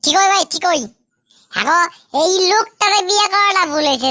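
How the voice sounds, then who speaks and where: A woman uses a squeaky, cartoonish character voice at an extremely high pitch. She talks at a fairly quick pace. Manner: chatty, playful, joking.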